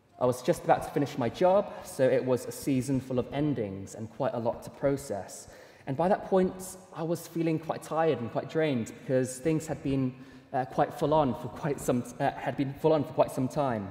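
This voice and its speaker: A man speaks at a moderate pace in a fairly high pitch, with ordinary pitch variation and noticeable background noise. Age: 20s. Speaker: preacher. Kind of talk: sermon.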